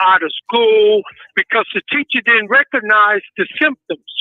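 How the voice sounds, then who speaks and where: With an American accent, a man talks at a high pitch using ordinary pitch variation. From Boston. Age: 60s. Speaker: reformed ex-offender. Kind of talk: interview. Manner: halting.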